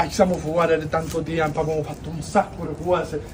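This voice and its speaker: Over noticeable background noise, a man with a Sicilian accent speaks at a moderate pace. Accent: Sicilian (Palermo). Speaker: street performer. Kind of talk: live street theatre monologue. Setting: outdoors.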